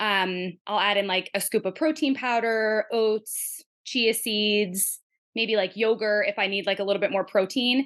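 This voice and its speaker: Against a quiet background, a woman with a fairly high pitch speaks at a fairly slow pace, her loudness very even and her pitch variation ordinary. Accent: New York. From New Jersey. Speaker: family nurse practitioner. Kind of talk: casual interview chat.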